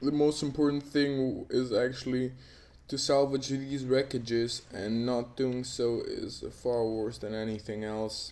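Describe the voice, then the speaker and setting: A dark, mellow tone at a fairly slow pace, with fairly even intonation. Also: man, medium pitch for a man. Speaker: game commentator. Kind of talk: live commentary.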